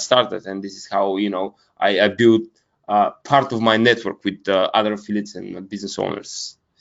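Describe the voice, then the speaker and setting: Here is a man with a Bulgarian accent. His pitch is fairly low and his pace moderate. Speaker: media buyer, business founder. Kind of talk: interview. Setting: video call. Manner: halting, many fillers.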